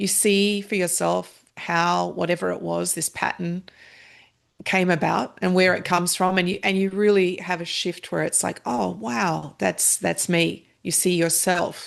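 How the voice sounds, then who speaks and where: A woman with an Australian accent, speaking fairly slowly against a quiet background. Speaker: meditation practitioner and author. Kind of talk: podcast interview.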